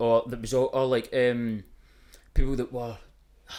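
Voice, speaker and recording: A man speaks in an animated tone with a Glaswegian accent. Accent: Glaswegian Scottish. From Scotland, East Kilbride near Glasgow. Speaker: music producer and social media creator. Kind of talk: casual chat.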